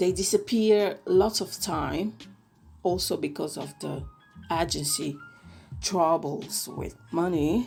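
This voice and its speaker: Music plays in the background while a woman speaks with an Italian accent. She goes at a very slow pace with long, frequent pauses. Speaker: K-pop reviewer. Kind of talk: casual podcast-style review.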